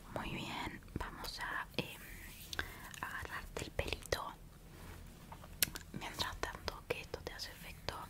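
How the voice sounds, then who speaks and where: At a very slow pace, a woman speaks with long, frequent pauses. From Uruguay. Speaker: ASMR creator. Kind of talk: ASMR roleplay. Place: home room. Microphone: studio mic.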